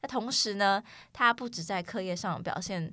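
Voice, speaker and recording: Against a silent background in a very clean recording, a woman talks at a fairly slow pace in a medium pitch with ordinary pitch variation. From United States (childhood). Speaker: college student podcast host. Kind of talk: casual chat.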